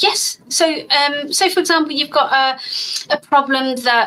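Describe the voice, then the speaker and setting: The woman speaks at a high pitch. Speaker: doctor. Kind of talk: Q&A on a live stream. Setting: live stream on social media. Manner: fast; animated.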